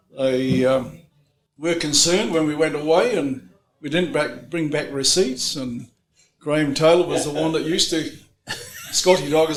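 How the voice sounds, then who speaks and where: Audible room echo surrounds a man speaking in a fairly high pitch. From England. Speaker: former truck assembly worker. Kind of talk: reminiscence at reunion. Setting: group gathering at a private home.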